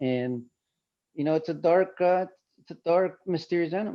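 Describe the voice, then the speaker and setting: At a moderate pace, a man speaks in a Spanish accent with ordinary pitch variation. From Colombia. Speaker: visual artist. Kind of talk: panel talk. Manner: halting.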